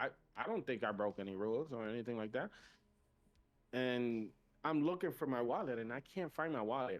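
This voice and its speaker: Animated in tone, with lively intonation and a Spanish accent, the speech moves at a fairly quick pace. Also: man. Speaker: podcast host. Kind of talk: casual chat.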